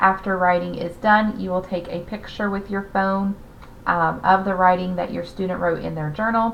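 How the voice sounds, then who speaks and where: A woman speaks with a slight Southern US accent and fairly even intonation. The room echo is audible. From US South. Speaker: teacher. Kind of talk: class orientation talk. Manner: hesitant with frequent fillers.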